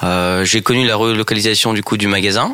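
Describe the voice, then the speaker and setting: Over noticeable background noise, a man of medium pitch talks at a moderate pace. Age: 20s. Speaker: sporting goods store department manager. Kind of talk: radio interview.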